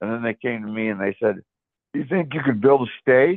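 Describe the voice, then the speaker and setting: In an American accent, a man with a plain, everyday voice and medium pitch speaks at a moderate pace with lively intonation. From US South, South Florida. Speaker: former motel owner. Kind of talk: interview.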